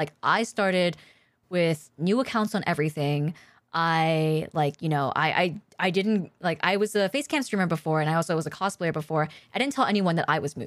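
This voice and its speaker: A woman talks at a fairly quick pace in a normal speaking voice. Her pitch is fairly low with ordinary variation, and the recording is very clean with a silent background. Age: 30s. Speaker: streamer and podcast co-host. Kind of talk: casual chat. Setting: live stream.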